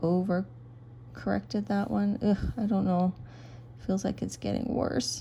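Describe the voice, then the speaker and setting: A soft-spoken woman talks at a fairly slow pace. Her speech has long, frequent pauses. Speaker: craft video creator. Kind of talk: tutorial.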